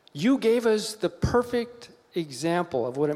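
A man's voice with very wide pitch swings. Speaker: pastor's father. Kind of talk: prayer. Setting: church. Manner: excitable.

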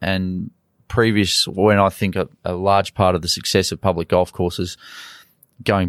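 This man speaks fairly quickly in an Australian accent, his pitch very deep and low. The sound is dry and close with no echo, on a very clean recording with a silent background. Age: 40s. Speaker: golf coach. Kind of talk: interview.

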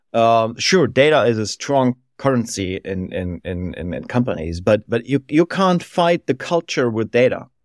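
This man speaks with a German accent at a moderate pace, his pitch medium and swinging very widely. The sound is dry and close with no echo, and the recording is very clean with a silent background. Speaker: business consultancy founder. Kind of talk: interview. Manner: halting, repeats words.

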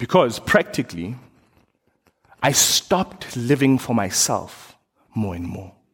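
The speaker is a man going at a moderate pace. His pitch swings very widely. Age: 30s. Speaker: preacher. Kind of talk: sermon.

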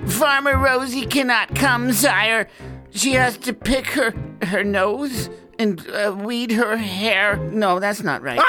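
Over clear background music, a put-on character voice moves at a very slow pace. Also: female-sounding voice, fairly high pitch for a woman. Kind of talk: silly children's story voice. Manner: nervous, fumbling.

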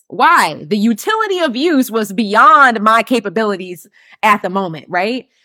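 A woman speaks at a fairly slow pace in a fairly high pitch. Her tone is bright, sharp and animated. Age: 30s. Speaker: business coach podcast host. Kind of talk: solo live stream teaching.

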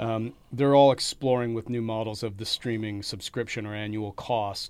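On a very clean recording with a silent background, an unremarkable speaking voice moves at a moderate pace. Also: man. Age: 40s. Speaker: podcast host at a film school. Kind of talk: interview conversation. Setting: studio.

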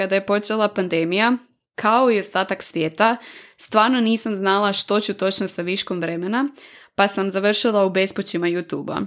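A woman speaks at a medium pitch. The recording is very clean, with a silent background. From Croatia, Varaždin. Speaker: podcast host, product manager. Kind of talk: solo podcast monologue.

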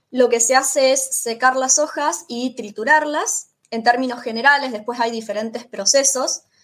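A woman talks in a high pitch at a moderate pace. Her intonation stays fairly even, and she hardly pauses at all. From Argentina, Rosario (Santa Fe). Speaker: Spanish teacher. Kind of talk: interview.

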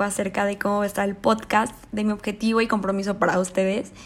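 A woman speaks with ordinary pitch variation. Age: 20s. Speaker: podcast host, interior architect. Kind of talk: solo monologue podcast. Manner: animated.

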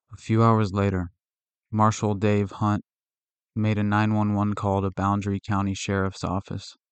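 At a moderate pace, a man with a fairly low pitch talks in a flat, monotone way, the sound dry and close with no echo and the background quiet. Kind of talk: true-crime history narration. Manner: flat, reportorial, dry recounting of events.

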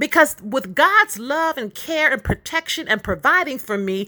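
The voice is raised and projected, bright and sharp, with an animated tone and very wide pitch swings. The pace is moderate, and the recording is very clean with a silent background. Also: woman. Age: 50s. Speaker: podcast host. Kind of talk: testimony.

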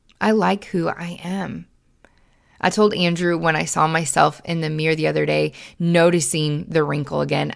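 A woman speaks at a fairly slow pace in an animated tone. The recording is very clean, with a silent background. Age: 20s. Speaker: podcast host. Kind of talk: solo monologue podcast.

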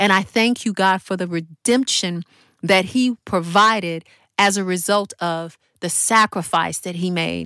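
In a very clean recording with a silent background and a dry, close sound with no echo, a woman speaks at a fairly slow pace and medium pitch with a bright, sharp tone and fairly even intonation. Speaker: podcast host and prayer leader. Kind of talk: fervent prayer. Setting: podcast recording. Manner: earnest, devout, heartfelt; rhythmic, repetitive, and fervent.

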